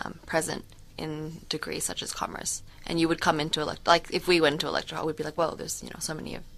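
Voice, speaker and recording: Talking at a very fast pace, a woman keeps a monotone, flat intonation at a very deep, low pitch, with vocal fry and big swings in loudness. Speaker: student radio co-host. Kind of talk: radio talk show banter. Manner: casual, chatty.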